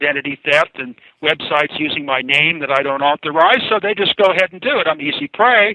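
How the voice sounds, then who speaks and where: A man in a normal speaking voice with a fairly high pitch, ordinary pitch variation, and a fairly quick pace. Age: 60s. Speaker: inventor. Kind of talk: interview. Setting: radio show.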